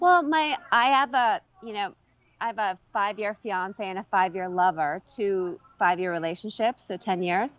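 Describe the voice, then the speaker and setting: A woman speaks at a moderate pace in a plain, everyday voice. Her pitch is medium and her intonation lively. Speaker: actress. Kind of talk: casual interview. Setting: video call.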